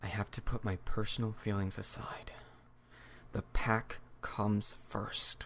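A put-on character voice, low and raspy, moves at a fairly slow pace with long, frequent pauses. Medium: voice reel.

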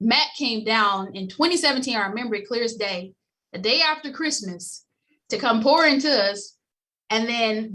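A bright, sharp tone in a Tennessee accent at a moderate pace against a quiet background. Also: woman. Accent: US Southern (Tennessee). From Memphis, Tennessee. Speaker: former Olympic bobsledder, insurance agency executive. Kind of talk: podcast interview. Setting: remote call. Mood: cheerful, smiling storytelling. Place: office. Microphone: webcam.

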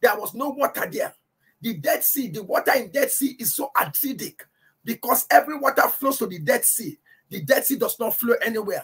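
A man talks at a fairly quick pace, his loudness swinging widely. Music plays in the background. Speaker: preacher. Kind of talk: sermon, Bible teaching to a congregation and online audience. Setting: church, livestreamed. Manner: emphatic, repeats key phrases for effect; fervent, exhorting. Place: home room. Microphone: webcam.

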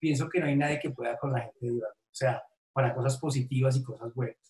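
A man's somewhat breathy voice sits at a fairly high pitch with ordinary pitch variation. He speaks at a fairly quick pace, with audible room echo. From Colombia, Tolima; Colombia. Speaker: businessman, COVID survivor; interviewee. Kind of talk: testimony. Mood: grateful, emotional recollection. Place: home room. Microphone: webcam.

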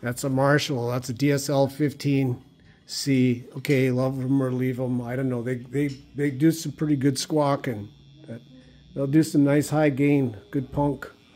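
A man's dark, mellow tone in a flat monotone. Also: fairly slow pace. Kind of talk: casual vlog chat. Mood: jokey, self-deprecating. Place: home room. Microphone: phone near.

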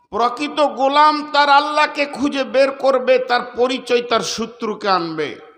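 An extremely high-pitched male voice with ordinary pitch variation, plus audible room echo and noticeable background noise. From West Bengal, Bardhaman. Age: 50s. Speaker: Islamic preacher. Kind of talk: sermon.

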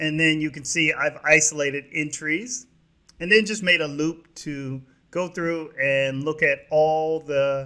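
At a fairly slow pace, a man with a fairly high pitch and a bright, sharp tone speaks with ordinary pitch variation. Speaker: programming tutorial presenter. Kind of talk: tutorial. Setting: screen recording voiceover.

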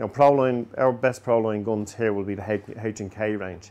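A man speaks with ordinary pitch variation. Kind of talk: sales explanation to camera. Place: shop. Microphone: lapel.

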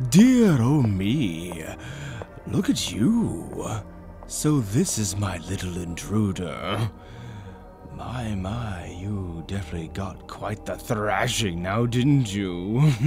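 A man's put-on character voice, fairly low in pitch and very slow, over clear background music. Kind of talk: horror ASMR story narration. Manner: pompous, smug, mocking.

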